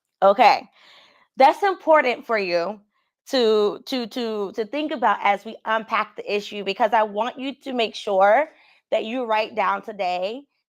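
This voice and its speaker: Fairly slow pace from a woman with a plain, everyday voice, fairly high pitch and ordinary pitch variation. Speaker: career coach. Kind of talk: live call-in coaching show.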